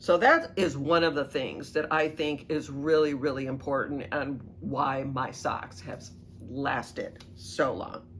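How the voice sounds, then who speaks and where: With an American accent, a woman with a very deep, low pitch speaks at a very slow pace, with audible room echo around her. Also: ordinary pitch variation. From US Midwest, Southern Illinois. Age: 60s. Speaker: knitting video host. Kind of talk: casual tutorial monologue. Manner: casual, many fillers.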